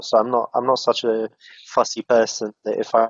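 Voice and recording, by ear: A man speaks at a fairly low pitch. The sound is dry and close, with no echo.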